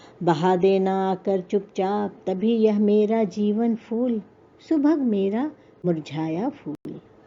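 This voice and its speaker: Here is a woman with an ordinary speaking voice. She talks at a medium pitch with lively intonation. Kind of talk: poetry reading.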